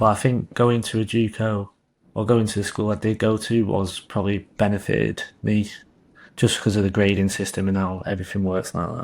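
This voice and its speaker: A man with an English accent, fairly low-pitched and monotone, at a fairly quick pace in a very clean recording with a silent background. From England. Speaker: college soccer player. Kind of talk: interview. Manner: halting.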